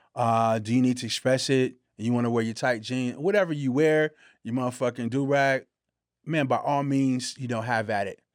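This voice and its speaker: A man speaks in a medium pitch with fairly even intonation at a moderate pace. It is a plain, everyday voice on a very clean recording with a silent background. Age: 40s. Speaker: podcast co-host. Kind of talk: casual chat.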